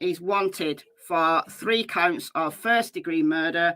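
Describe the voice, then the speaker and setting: A loud voice with a bright, sharp tone and a British accent rings out on a very clean recording with a silent background. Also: woman. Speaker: true crime YouTuber. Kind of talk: live stream commentary. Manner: casual, chatty.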